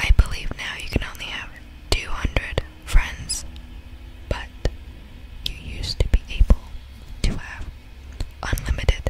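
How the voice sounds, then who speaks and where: The speaker whispers at a fairly slow pace, with long, frequent pauses. Noticeable background noise runs underneath. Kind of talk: ASMR whisper reading of Roblox facts. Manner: whispered, soft-spoken.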